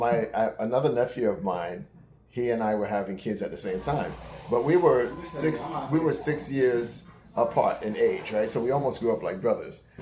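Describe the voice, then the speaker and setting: A man talks at a moderate pace and medium pitch with lively intonation. Noticeable background noise is present. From New York City. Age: 60s. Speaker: uncle of the channel owner. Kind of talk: casual chat.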